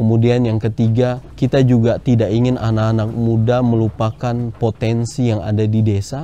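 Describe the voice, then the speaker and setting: The tone is dark and mellow, flat and monotone, with very even loudness. It moves at a moderate pace with hardly any pauses. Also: man, medium pitch for a man. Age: 20s. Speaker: livestock farmer. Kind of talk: interview testimony.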